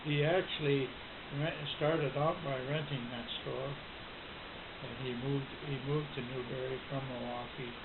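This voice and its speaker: A man talks at a moderate pace and medium pitch, his intonation monotone and flat. Long, frequent pauses break up his speech, and there is noticeable background noise. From Newberry, Michigan, USA. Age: 80s+. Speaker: World War Two veteran. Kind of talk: family history interview answer.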